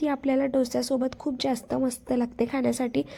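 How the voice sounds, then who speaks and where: This woman's high-pitched voice has a dark, mellow tone. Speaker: food and lifestyle vlogger. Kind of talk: casual cooking vlog narration.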